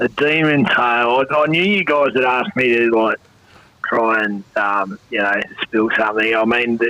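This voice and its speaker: A man's voice in an Australian accent, with ordinary pitch variation and very even loudness, over noticeable background noise. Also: medium pitch for a man, moderate pace. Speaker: former football player and coach. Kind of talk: podcast interview. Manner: halting, many fillers.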